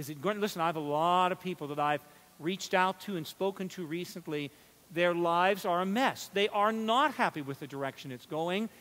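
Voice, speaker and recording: Speaking at a fairly quick pace with an American accent, a man uses a high pitch, a bright, sharp tone, and ordinary pitch variation. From southwestern Pennsylvania. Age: 50s. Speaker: church superintendent, preacher; preacher. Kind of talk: sermon. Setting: church. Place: church. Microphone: headset.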